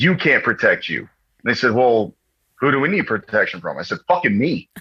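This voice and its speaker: A man of medium pitch with an American accent and vocal fry, fairly quick, with very wide pitch swings. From Texas and New York. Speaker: Marine veteran. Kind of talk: casual storytelling interview. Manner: animated.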